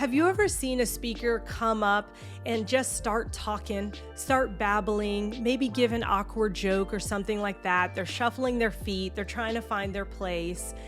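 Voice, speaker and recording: A woman talks at a fairly slow pace. Behind her, music is playing. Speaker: public speaker and marketer. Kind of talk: public speaking tips video, casual talk to camera.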